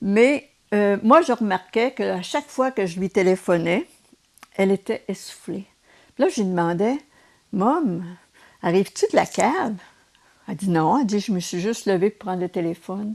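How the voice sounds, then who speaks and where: A woman speaks with a Quebec accent at a medium pitch and moderate pace. Her pauses are long and frequent. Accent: Québécois French. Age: 70s. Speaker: retired nurse and race walker. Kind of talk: interview.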